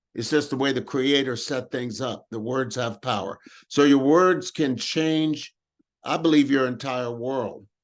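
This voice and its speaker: With a quiet background, a man speaks in a plain, everyday voice at medium pitch and a fairly slow pace, with ordinary pitch variation. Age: 60s. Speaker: motivational speaker, workshop host. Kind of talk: group talk on affirmations and prosperity.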